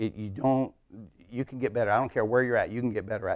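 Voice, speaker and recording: This very clean recording with a silent background features a man at medium pitch. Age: 60s. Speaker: customer service trainer. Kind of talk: conference talk. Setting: stage with audience. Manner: animated.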